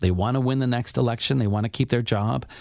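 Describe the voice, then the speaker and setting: A man with a Canadian accent speaks at a very fast pace in a medium pitch, on a very clean recording with a silent background. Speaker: activist and author. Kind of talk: radio interview. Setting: studio.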